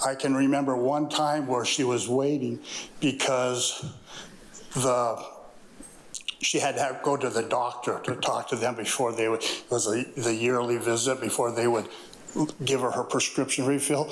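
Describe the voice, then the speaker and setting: A man at medium pitch and moderate pace, flat and monotone, with long, frequent pauses, very even loudness, audible room echo and noticeable background noise. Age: 60s. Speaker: public commenter, contractor. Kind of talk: public comment. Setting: city council meeting.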